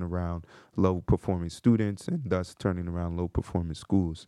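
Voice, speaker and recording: A man with an American accent speaks fairly quickly in a dark, mellow tone and a flat monotone. The sound is dry and close with no echo, against a quiet background. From New Jersey (New Brunswick). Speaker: career coach and podcast co-founder. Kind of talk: casual chat.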